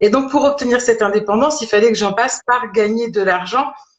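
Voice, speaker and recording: Her pitch fairly high, a woman talks with ordinary variation in it. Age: 40s. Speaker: holistic medicine practitioner-teacher. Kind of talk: interview, personal story. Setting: live stream video call. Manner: hesitant, many fillers.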